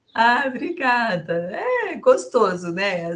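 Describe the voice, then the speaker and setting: Speaking at a very slow pace, a woman with a fairly high pitch moves through very wide pitch swings. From Brazil, Sorocaba (São Paulo state). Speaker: businesswoman and finance director. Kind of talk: casual chat.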